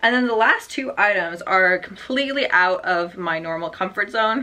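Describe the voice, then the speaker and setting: At a moderate pace, a woman speaks in a plain, everyday voice at a medium pitch with lively intonation. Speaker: online clothing reseller. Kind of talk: casual haul video tutorial.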